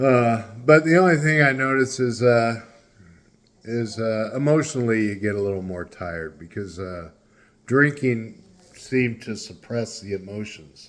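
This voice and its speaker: Recorded very cleanly against a silent background, a man with an American accent talks at a moderate pace and medium pitch, using lively intonation and big swings in loudness. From California. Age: 60s. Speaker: vlogger. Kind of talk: casual monologue. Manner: halting, many fillers.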